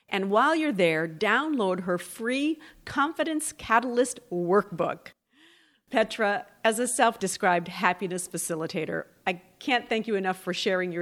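A woman with an unremarkable speaking voice and lively intonation. The recording is very clean, with a silent background. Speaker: podcast host.

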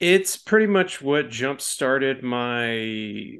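Very slow, lively speech with an American accent against a quiet background. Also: man. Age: 30s. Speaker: film critic podcast co-host. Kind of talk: casual chat.

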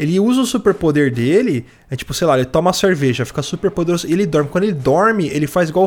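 A man is speaking. His intonation is lively. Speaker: podcast host. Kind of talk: casual chat.

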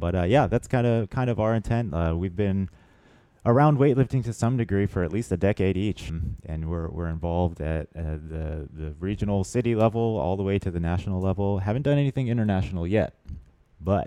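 With an American accent, a man speaks at a fairly quick pace in a dark, mellow tone with lively intonation. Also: fairly low pitch for a man. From Pensacola, Florida. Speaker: weightlifting coach and podcast host. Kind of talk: casual chat.

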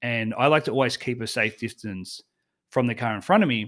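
A man with an Australian accent, medium pitch and ordinary pitch variation, on a very clean recording with a silent background. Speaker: travel blogger and podcaster. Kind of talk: casual interview.

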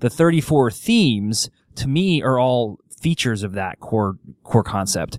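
In a very clean recording with a silent background and a dry, close sound with no echo, a man speaks at a medium pitch and a fairly slow pace with lively intonation. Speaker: podcast host and strengths coach. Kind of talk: podcast interview. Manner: radio announcer style.

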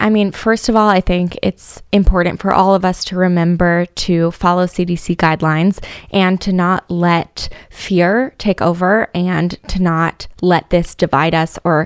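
With an American accent, the speaker moves at a moderate pace with hardly any pauses, sounding dry and close with no echo. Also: woman. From San Diego, California. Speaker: congressional candidate. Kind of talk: political interview.

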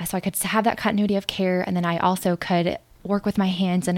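A woman talks at a fairly quick pace in a monotone, flat intonation. The recording is very clean, with a silent background. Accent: American. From US Midwest, St. Louis. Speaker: new medical graduate, incoming OB/GYN resident. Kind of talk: interview.

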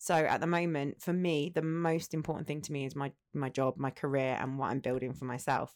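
In a very clean recording with a silent background, a woman with an Essex accent speaks at a fairly quick pace with a very deep, low pitch, fairly even intonation and hardly any pauses. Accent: southern English, Essex. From Essex, England. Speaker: entrepreneur, former teacher. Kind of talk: casual chat.

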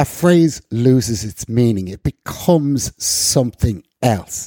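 In a Northern Irish accent, a man speaks with lively intonation and a dark, mellow tone, the sound dry and close with no echo. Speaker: podcast co-host. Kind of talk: casual political discussion.

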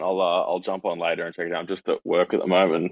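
A man speaks in an Australian accent at a very fast pace. His pitch is very deep and low. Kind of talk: casual chat. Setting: online audio room.

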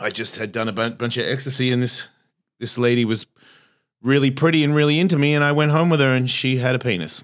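A man with an American accent talks at a very fast pace. His pitch is medium, with ordinary pitch variation. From Australia. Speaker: comedian and podcaster.

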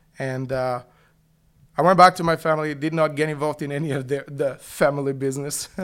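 Delivered at a very fast pace in a Bulgarian accent, the speech stays monotone with flat intonation. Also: man, fairly high pitch for a man. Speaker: youth pastor. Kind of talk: testimony.

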